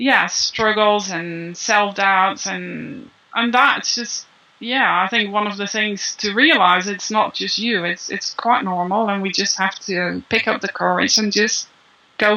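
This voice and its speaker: A woman's medium-pitched voice moves at a fairly slow pace, carrying ordinary pitch variation. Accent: non-native. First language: not English. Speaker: copywriter and business writing coach. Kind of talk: interview. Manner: halting.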